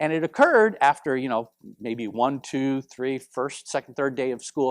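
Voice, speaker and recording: The recording is dry and close, with no echo. A man speaks at a moderate pace and a medium pitch. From US, Puerto Rican family; grew up in Oceanside, California. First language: Spanish. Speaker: professor. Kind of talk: lecture. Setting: in-person presentation streamed via video call. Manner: animated.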